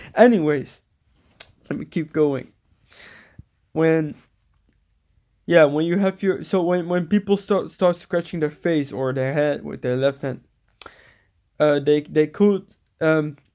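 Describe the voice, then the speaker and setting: Speaking in a Dutch accent with a dark, mellow tone, a man goes at a fairly slow pace with long, frequent pauses, using a fairly high pitch and ordinary pitch variation in a very clean recording with a silent background. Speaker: spiritual vlogger. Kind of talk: casual monologue. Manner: halting, many repetitions and fillers.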